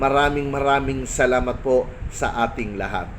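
Through noticeable background noise, a man with a fairly high pitch speaks at a fairly slow pace. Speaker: barangay official vlogger. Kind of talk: casual vlog monologue. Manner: hesitant, many fillers.

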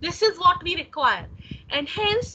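Over light background noise, a woman uses a raised, projected voice with lively intonation at a fairly slow pace. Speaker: lecturer. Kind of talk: lecture. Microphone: video call.

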